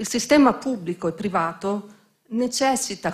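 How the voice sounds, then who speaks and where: Against a quiet background, a woman speaks in a somewhat breathy voice with ordinary pitch variation. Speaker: bank president. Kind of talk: formal opening speech. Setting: stage with audience. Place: hall. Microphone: podium.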